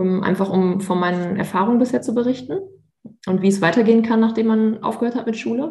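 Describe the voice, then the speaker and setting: A woman's somewhat breathy voice moves at a fairly quick pace, its pitch varying in an ordinary way. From Münster, western Germany. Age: 30s. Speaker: former trainee teacher, Instagram creator. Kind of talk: interview.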